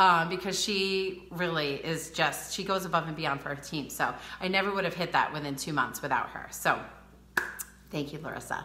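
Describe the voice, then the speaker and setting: A woman with a Rhode Island accent and a fairly low pitch speaks with fairly even intonation, with audible room echo and noticeable background noise. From US Northeast, Rhode Island. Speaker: beauty advisor. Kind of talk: live social media training. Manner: fast.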